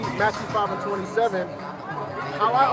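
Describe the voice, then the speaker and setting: Loud background music under a male speaker. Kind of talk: street debate about scripture. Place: street.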